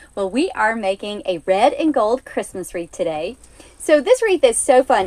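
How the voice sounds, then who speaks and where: In an Alabama accent, the voice carries an upbeat tone at a moderate pace with very wide pitch swings, dry and close with no echo. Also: woman. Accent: Southern US (Alabama). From US South (Alabama). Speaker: craft tutorial host. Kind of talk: live-stream craft tutorial. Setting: live stream. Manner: upbeat, friendly.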